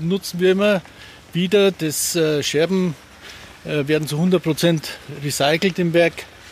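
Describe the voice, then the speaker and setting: Over noticeable background noise, a man talks at a high pitch and a fairly slow pace with ordinary pitch variation. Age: 50s. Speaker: glass plant manager. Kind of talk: interview during plant tour. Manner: hesitant, many fillers.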